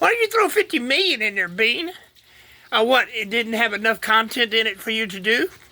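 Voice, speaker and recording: A speaker with a Texas accent. The pace is moderate. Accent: Texas Southern US. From Texas, Houston. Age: 60s. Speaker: vlogger, retired plumber. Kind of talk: casual monologue. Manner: animated.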